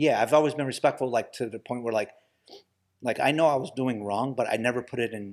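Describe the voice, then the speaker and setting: Very fast and fairly even in intonation, a man with an American accent speaks at a medium pitch. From US Midwest, Toledo, Ohio. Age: 50s. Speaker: podcast guest. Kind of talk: casual chat. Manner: halting, repeats words.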